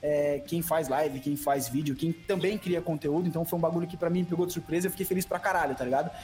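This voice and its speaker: Music plays in the background as a man talks at a very fast pace. His voice is high, with ordinary pitch variation. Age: 20s. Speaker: Tibia streamer. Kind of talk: casual interview. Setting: studio.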